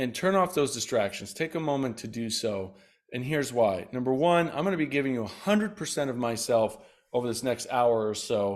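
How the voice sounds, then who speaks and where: A man with a medium pitch talks at a fairly quick pace, his intonation lively. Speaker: health educator. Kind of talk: webinar presentation. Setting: online webinar. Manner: fast; energetic.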